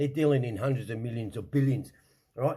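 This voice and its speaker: With an Australian accent, this man has a medium pitch, ordinary pitch variation and a dark, mellow, somewhat breathy tone. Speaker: online show host. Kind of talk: casual rant. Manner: animated, swearing, repetitive stammering.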